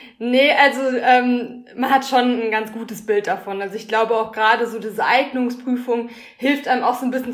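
A woman at a fairly high pitch and moderate pace, with fairly even intonation over noticeable background noise. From Ruhr area, Germany (Schwerte near Dortmund). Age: 20s. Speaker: master's student in design. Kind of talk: casual interview.

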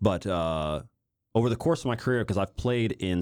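Spoken with an American accent at a fairly quick pace, the voice shows ordinary pitch variation in a very clean recording with a silent background. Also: man. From US Midwest, Kansas City. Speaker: professional footballer and YouTuber. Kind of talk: casual interview.

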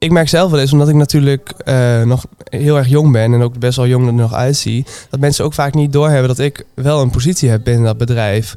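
At a fairly quick pace with hardly any pauses, a man talks at medium pitch in a dark, mellow tone, his intonation fairly even and his loudness very even. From Twente, eastern Netherlands. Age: 20s. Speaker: restaurant manager. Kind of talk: casual interview.

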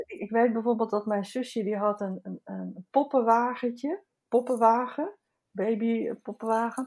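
A woman's normal speaking voice, a normal speaking voice pitched fairly high, at a fairly slow pace, with fairly even intonation and big swings in loudness. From Netherlands, Haarlem. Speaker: artist and teacher. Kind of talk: casual chat. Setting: remote recording from home.

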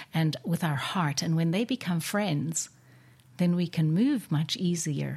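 In a very clean recording with a silent background, a woman with a fairly low, somewhat breathy, warm voice speaks at a moderate pace with ordinary pitch variation. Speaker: podcast host and wellness coach. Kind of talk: interview. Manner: warm, effusive.

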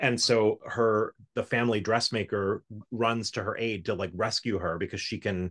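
An ordinary speaking voice, a man with an American accent talks at a fairly low pitch and a moderate pace with fairly even intonation, dry and close with no echo over a quiet background. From South Florida. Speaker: musical arranger and orchestrator. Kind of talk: casual interview chat.

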